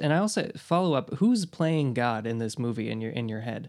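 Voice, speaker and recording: At a fairly quick pace, a man talks in a plain, everyday voice of medium pitch. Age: 20s. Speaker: podcast host. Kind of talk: interview. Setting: call.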